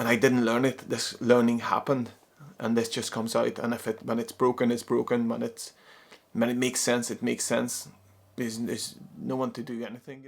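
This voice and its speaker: A man with a non-native accent speaks at a fairly quick pace. His intonation is flat and monotone. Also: medium pitch for a man. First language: not English. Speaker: psychologist and non-duality teacher. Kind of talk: spoken talk on spirituality. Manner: halting, many repeated words.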